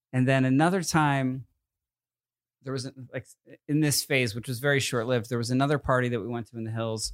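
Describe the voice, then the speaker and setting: A man with a slight East Coast accent speaks very fast at a medium pitch. The recording is very clean, with a silent background and a dry, close sound with no echo. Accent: slight East Coast, tri-state. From US East Coast, Connecticut. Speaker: podcast host. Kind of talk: casual chat. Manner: long pauses mid-sentence.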